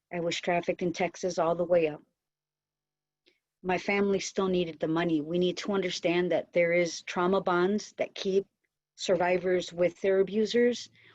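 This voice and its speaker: At a moderate pace, a woman with an American accent talks in a flat monotone at a fairly low pitch. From US Midwest, Silvis, Illinois. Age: 30s. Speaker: trafficking survivor panelist. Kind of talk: panel discussion.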